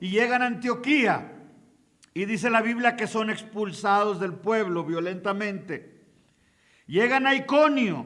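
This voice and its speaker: A man speaks in a raised, projected voice with a bright, sharp tone and a high pitch. His pace is fairly slow, his pitch variation is ordinary, and audible room echo surrounds him. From Mexico. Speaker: pastor and missionary. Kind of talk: sermon. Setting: conference hall with audience.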